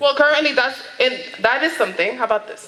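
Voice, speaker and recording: A woman with a high-pitched, raised and projected voice talks very fast with ordinary pitch variation over noticeable background noise. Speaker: community affairs staffer for a city official. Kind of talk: public presentation at community board meeting. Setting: community board meeting room.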